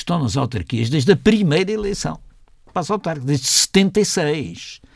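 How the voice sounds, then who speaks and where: Recorded very cleanly with a silent background, a man speaks at a fairly slow pace with vocal fry. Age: 70s. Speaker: historian and party co-founder. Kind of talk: radio interview. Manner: halting, many repetitions.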